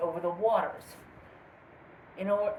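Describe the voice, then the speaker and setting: Mumbling at a fairly high pitch, a woman speaks. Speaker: cryptid video host. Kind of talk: casual storytelling. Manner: halting.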